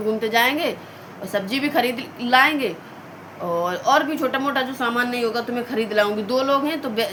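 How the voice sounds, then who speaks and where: Against noticeable background noise, a woman with a high pitch talks at a fairly slow pace with ordinary pitch variation. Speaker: vlogger, mother. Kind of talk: casual vlog chat. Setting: at home, in a room. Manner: quiet so as not to wake family.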